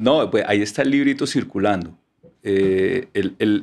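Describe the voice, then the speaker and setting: A man at a moderate pace, ordinary pitch variation, against a quiet background. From Colombia. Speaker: author; podcast guest. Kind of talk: casual chat. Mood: animated, wry. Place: studio. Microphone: studio mic.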